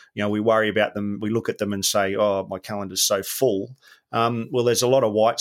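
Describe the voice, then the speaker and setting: On a very clean recording with a silent background, a man speaks. His pitch is fairly low and his intonation monotone and flat. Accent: Australian. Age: 50s. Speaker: former special forces soldier, business coach. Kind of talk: casual interview.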